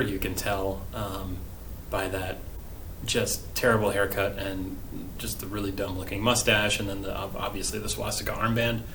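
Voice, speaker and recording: A fairly low-pitched man at a moderate pace, fairly even in intonation, with audible room echo and noticeable background noise. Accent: American. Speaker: history teacher. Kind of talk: recorded remote lesson. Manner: casual, hesitant with many fillers.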